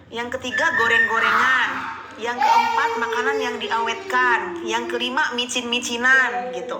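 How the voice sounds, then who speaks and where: Noticeable background noise and audible room echo accompany a woman talking at a fairly slow pace. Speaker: livestream host sharing pregnancy experience. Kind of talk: live Q&A chat. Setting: livestream. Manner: loud; casual, chatty.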